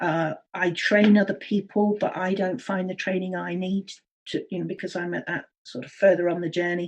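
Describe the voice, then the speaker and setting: At a moderate pace and medium pitch, a woman talks in an unremarkable speaking voice. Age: 60s. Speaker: early childhood education consultant. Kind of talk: interview.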